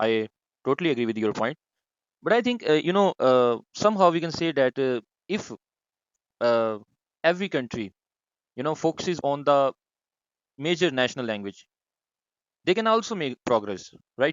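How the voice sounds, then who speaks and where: With a Punjabi accent, a man speaks at a moderate pace and a fairly high pitch, swinging his pitch very widely and leaving long, frequent pauses. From Pakistan, Punjab. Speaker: discussion moderator. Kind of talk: online group discussion. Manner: hesitant, many fillers.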